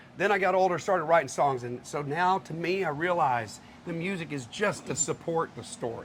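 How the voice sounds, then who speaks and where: Talking at a fairly quick pace with an American accent, a man has a high pitch and ordinary pitch variation. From Texas, Houston area. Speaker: country singer-songwriter. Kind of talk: casual interview. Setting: live on location at a restaurant venue with audience.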